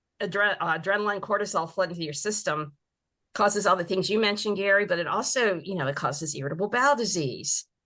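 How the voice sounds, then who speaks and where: A bright, sharp tone at a very fast pace, with ordinary pitch variation over a quiet background. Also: woman, medium pitch for a woman. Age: 60s. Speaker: mental health counselor. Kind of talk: interview.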